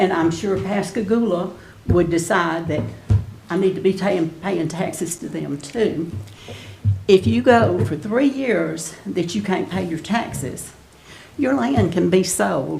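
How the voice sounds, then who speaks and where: A woman's fairly low voice with lively intonation at a fairly slow pace, with music in the background and audible room echo. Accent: Mississippi. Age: 70s. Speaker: resident speaking at public comment. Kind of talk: public comment at council meeting.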